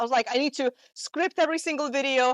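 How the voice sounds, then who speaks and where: A woman with a Russian accent at a fairly quick pace, with ordinary pitch variation. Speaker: marketing coach. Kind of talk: talk to a live audience. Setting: in-person event with audience. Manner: casual, with many fillers.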